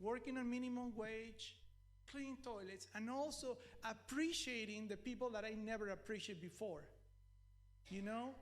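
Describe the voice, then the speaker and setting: A man's high-pitched voice in a Mexican accent, ordinary pitch variation, moderate pace with long, frequent pauses, and audible room echo. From Mexico. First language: Spanish. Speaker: preacher. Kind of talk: sermon.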